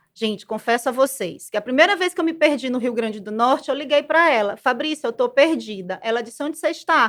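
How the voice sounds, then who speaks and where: With a Maranhão accent, a woman talks at a fairly quick pace in a high voice with lively intonation and hardly any pauses, on a very clean recording with a silent background. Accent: Maranhão accent, noticeable. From Brazil, Maranhão (São Luís). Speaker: business management professional. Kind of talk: podcast interview.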